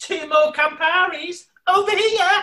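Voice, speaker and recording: A man puts on a character voice that is squeaky and extremely high-pitched. He speaks at a fairly slow pace. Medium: audio drama. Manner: brash, sharp, combative.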